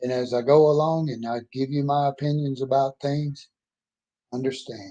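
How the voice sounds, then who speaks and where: In a Southern US accent, a man's dark, mellow tone, fairly high pitch and monotone, flat intonation at a moderate pace. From Mississippi. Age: 60s. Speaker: author and oil field worker. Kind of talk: personal monologue vlog. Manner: emphatic, can get loud.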